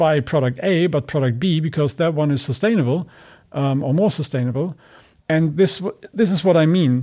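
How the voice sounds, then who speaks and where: A man talks at a moderate pace in a fairly high pitch with a dark, mellow tone. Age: 40s. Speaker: sustainability business executive. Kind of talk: interview. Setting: video call.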